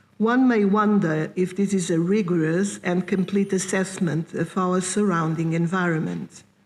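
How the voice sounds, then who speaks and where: Her pitch medium and its variation ordinary, a woman with a non-native accent speaks at a fairly slow pace. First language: not English. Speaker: philosopher. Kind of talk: lecture reading. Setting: conference hall with audience. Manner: formal.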